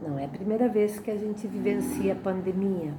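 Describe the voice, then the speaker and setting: Amid noticeable background noise and audible room echo, a woman talks at a fairly slow pace in a medium-pitched voice with ordinary pitch variation. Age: 60s. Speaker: spiritist lecturer. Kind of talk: religious lecture. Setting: online talk.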